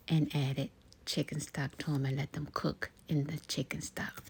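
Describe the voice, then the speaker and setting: The somewhat breathy voice moves at a moderate pace. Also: woman. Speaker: ASMR creator. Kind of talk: casual talk to camera while cooking. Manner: soft-spoken, calming.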